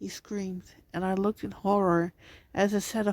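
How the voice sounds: Fairly even intonation in a natural reading voice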